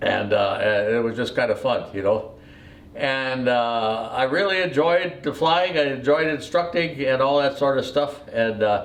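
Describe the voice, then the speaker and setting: Fairly high-pitched male speech at a fairly slow pace, with ordinary pitch variation and audible room echo. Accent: American. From US Midwest, Wisconsin. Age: 80s+. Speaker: retired airline pilot. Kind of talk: life story telling. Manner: halting, many fillers.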